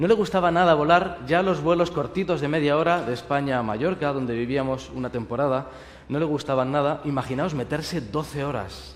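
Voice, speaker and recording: Moderate-paced speech with a Spanish accent, ordinary pitch variation and audible room echo. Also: man. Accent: Spanish (Spain). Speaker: pastor. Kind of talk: sermon.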